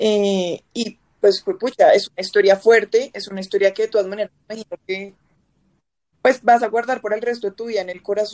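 A woman with an ordinary speaking voice talks at a fairly quick pace in a fairly high pitch, her intonation fairly even but her loudness swinging widely, in a dry, close sound with no echo. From Bogotá, Colombia. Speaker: podcast host. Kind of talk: casual chat.

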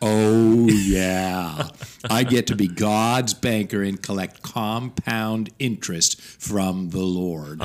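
A man puts on a booming character voice with a fairly low pitch. He speaks very slowly, with ordinary pitch variation. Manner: playful, mock-solemn.

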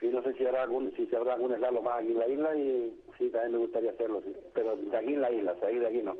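Very fast pace, hardly any pauses, and fairly even intonation. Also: man, medium pitch for a man. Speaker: rally driver. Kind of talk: interview.

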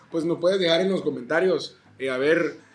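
With lively intonation, a man talks in an animated tone at a fairly quick pace. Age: 20s. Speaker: podcast co-host. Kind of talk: casual chat.

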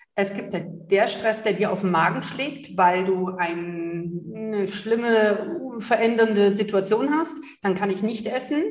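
Very slow but with hardly any pauses, a woman speaks at a medium pitch with ordinary pitch variation, over noticeable background noise and audible room echo. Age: 30s. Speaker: empowerment coach. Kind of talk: interview. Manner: animated.

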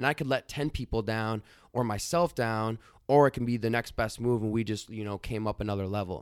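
A man speaks at a very fast pace and a medium pitch, with ordinary pitch variation. The recording is very clean with a silent background and a dry, close sound with no echo. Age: 20s. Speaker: founder and CEO of a digital media agency. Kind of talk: casual interview.

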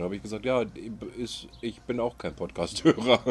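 A man is talking. His pace is very fast. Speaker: podcast co-host. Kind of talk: casual chat. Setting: outdoors.

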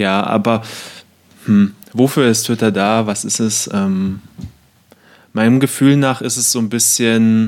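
Speaking at a very slow pace, a man keeps a medium pitch with ordinary pitch variation. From eastern Germany (Cottbus). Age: 20s. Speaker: podcast co-host. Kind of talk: casual chat.

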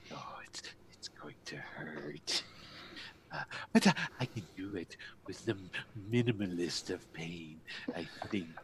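Whispering in a put-on character voice, a man leaves long, frequent pauses. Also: fairly slow pace. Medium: actual play. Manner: hissing, repetitive "yes", fawning and eerily eager.

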